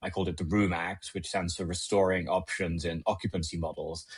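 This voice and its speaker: A man talks at a fairly quick pace with a British accent. His voice is somewhat breathy, and the background is quiet. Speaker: legislative attorney. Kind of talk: podcast interview.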